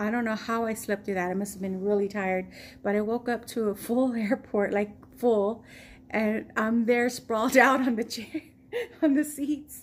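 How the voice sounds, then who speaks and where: Fairly high-pitched woman's voice with fairly even intonation and an American accent. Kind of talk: casual storytime talk to camera. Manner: slow.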